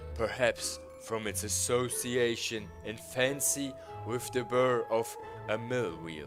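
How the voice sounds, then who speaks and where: A man speaks with lively intonation at a fairly slow pace. Music can be heard behind him. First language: not English. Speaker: streamer reading stories aloud. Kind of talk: reading aloud with live stream chat. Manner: halting, stumbles over words.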